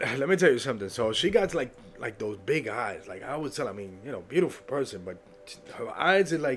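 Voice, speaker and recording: A man's fairly quick speech with an American accent, very wide pitch swings and noticeable background noise. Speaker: podcast host. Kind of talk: casual solo podcast monologue. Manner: animated, emotional, excitable.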